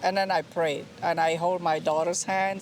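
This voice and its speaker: Over noticeable background noise, a woman speaks fairly slowly in a fairly low pitch with monotone, flat intonation. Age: 60s. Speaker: interviewee, member of the public. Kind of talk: street interview testimony. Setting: outdoors by the ocean. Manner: halting.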